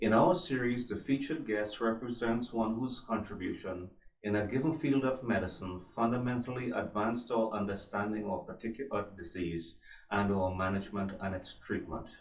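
Against a quiet background with audible room echo, a man talks at a moderate pace with ordinary pitch variation. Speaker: journal editor hosting interview. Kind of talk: formal interview introduction. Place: office.

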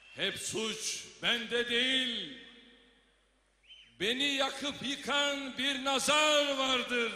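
A man speaks at a very slow pace in an extremely high, raised, projected voice. His intonation is monotone and flat, with noticeable background noise. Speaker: politician reciting a poem at a party congress. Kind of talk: poetry reading. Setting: congress hall, public speech.

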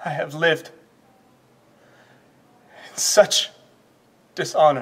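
This man talks at a very slow pace in a put-on character voice, pitched fairly high with a slightly husky edge. His pitch moves with ordinary variation.

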